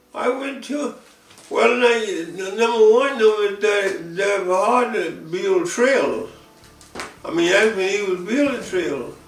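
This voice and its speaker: A man's fairly slow, high-pitched speech with lively intonation, over noticeable background noise. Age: 80s+. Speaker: retired Head Start program founder, Korean War era draftee. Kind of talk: oral history interview answer.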